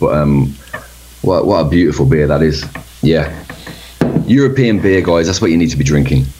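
A man with a very deep, low pitch is heard through audible room echo and noticeable background noise. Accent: Birmingham. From Birmingham, England. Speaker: metal band member. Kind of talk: casual interview.

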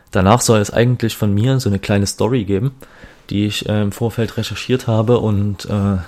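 A man speaks at a fairly low pitch. His pace is fairly slow and his intonation fairly even. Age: 20s. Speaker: podcast host. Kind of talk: solo podcast intro monologue. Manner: hesitant, many filler sounds.

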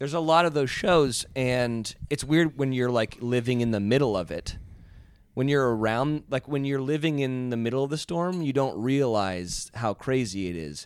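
A man at a moderate pace and medium pitch, ordinary pitch variation, a plain, everyday voice. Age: 30s. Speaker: TV personality. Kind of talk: casual chat.

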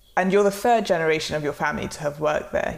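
A woman with an unremarkable speaking voice, medium in pitch, with lively intonation. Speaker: podcast host. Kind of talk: interview.

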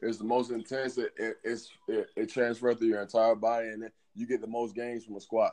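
Very fast, monotone, flat delivery from a man of medium pitch in a Southern US accent. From Alabama. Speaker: strength and conditioning coach. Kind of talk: casual interview.

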